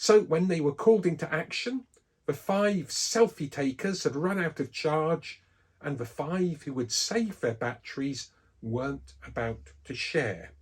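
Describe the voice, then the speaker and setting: This man has an English accent and a fairly high pitch. His pitch swings very widely. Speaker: Bible teacher. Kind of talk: scripted religious talk.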